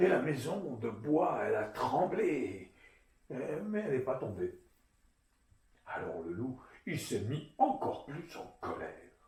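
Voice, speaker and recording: Very wide pitch swings and vocal fry mark this man's speech. He talks at a very slow pace with long, frequent pauses. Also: fairly high pitch for a man. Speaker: storyteller. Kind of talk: children's storytelling, tale told to an audience. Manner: lively, expressive, playful.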